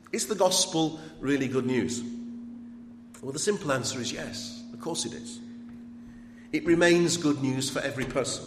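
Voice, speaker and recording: Over noticeable background noise, a man with a medium pitch and lively intonation talks at a moderate pace, with big swings in loudness and long, frequent pauses. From Sheffield, England. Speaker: archbishop giving lecture. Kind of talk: lecture. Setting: lecture hall with audience.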